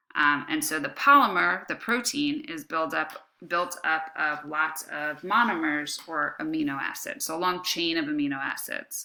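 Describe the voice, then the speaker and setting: Using a bright, sharp tone, a woman speaks with very wide pitch swings. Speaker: high school biology teacher. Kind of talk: lecture. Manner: casual, many fillers.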